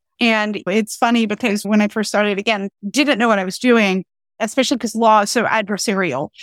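A woman with an American accent speaks at a moderate pace in an unremarkable speaking voice, her medium pitch showing ordinary variation, recorded dry and close with no echo, very clean, over a silent background. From North Carolina. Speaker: tax lawyer and writer. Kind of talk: casual interview.

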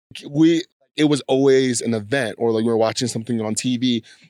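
Heard in a dry, close sound with no echo, a man with a Californian accent talks at a fairly quick pace with ordinary pitch variation. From US West Coast, San Diego. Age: 20s. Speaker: podcast guest, creative artist. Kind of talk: casual interview, personal story. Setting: home studio in host's basement.

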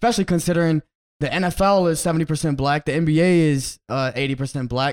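His pitch sits fairly high for a man. He talks at a very fast pace. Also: ordinary pitch variation, dry, close sound with no echo, very clean recording, silent background. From Brazil, raised in US. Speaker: podcast host and sports journalist. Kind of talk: interview.

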